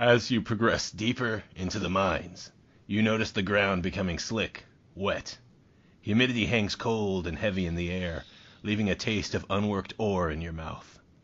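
A man puts on a character voice. It sits fairly low in pitch, with fairly even intonation. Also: moderate pace. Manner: dramatic.

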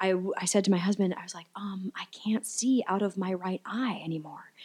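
This woman has a plain, everyday voice and an American accent. Her pitch is medium and her pace moderate. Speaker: actress. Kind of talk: casual chat.

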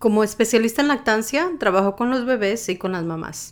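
On a very clean recording with a silent background, a woman talks in a normal speaking voice at a moderate pace with ordinary pitch variation. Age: 40s. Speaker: lactation specialist. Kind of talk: interview monologue.

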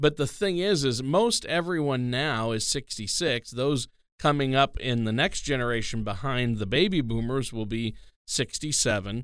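A man with a plain, everyday voice speaks at medium pitch and a moderate pace, with ordinary pitch variation. The recording is very clean, with a silent background. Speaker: co-host and announcer. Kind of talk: radio show intro and casual talk.

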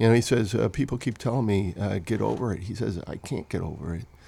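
With a Chicago accent, a man speaks at a fairly low pitch with ordinary pitch variation. His tone is dark and mellow. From Chicago area, Illinois. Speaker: novelist. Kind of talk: interview. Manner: halting.

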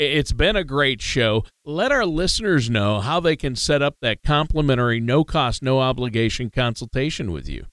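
An unremarkable speaking voice moves at a moderate pace with lively intonation and hardly any pauses, in a dry, close sound with no echo and a very clean recording with a silent background. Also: man, medium pitch for a man. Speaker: co-host. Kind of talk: casual talk show chat.

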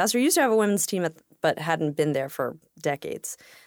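A woman at a fairly quick pace, dry and close with no echo, on a very clean recording with a silent background. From Brooklyn, New York (Russian immigrant family). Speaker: college English professor. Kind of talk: casual chat.

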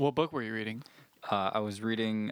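In a very clean recording with a silent background, a man uses a normal speaking voice with ordinary pitch variation. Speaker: podcast host. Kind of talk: casual banter.

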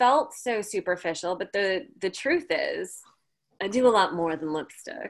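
At a fairly slow pace, a woman with an American accent speaks at a fairly high pitch with very wide pitch swings. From Chicago. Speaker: actor and presence coach. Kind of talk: mentoring session.

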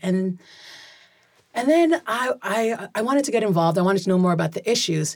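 In a very clean recording with a silent background, a woman speaks at a medium pitch and a fairly quick pace, her intonation lively and her loudness very even. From US Pacific Northwest (Pierce County, Washington). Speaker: political candidate. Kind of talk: interview.

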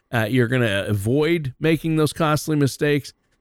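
Fairly slow and at medium pitch, a man speaks in a normal speaking voice with ordinary pitch variation. The sound is dry and close, with no echo. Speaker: radio co-host. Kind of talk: casual radio chat. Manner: friendly, upbeat.

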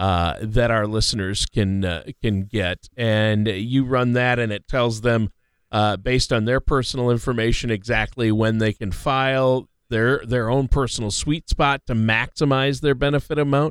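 A man talks at a moderate pace in a medium pitch with ordinary pitch variation, an unremarkable speaking voice. The sound is dry and close, with no echo. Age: 50s. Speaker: radio co-host and announcer. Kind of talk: casual chat.

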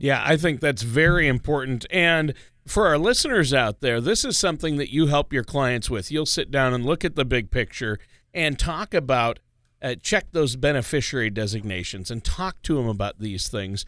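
Over a very clean recording with a silent background, a man speaks at a fairly high pitch and moderate pace in a bright, sharp tone with lively intonation. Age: 50s. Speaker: radio co-host. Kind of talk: scripted narration; casual chat.

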